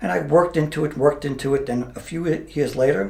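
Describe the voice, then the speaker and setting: Lively, fairly high-pitched male speech in a room with audible echo. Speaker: mayor and retired police officer. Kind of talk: interview. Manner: halting.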